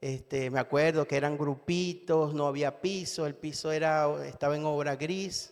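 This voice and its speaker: Speaking at a fairly slow pace with a Venezuelan accent, a man uses a fairly high pitch and fairly even intonation. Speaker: lay preacher. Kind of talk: sermon. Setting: church. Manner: halting, many fillers.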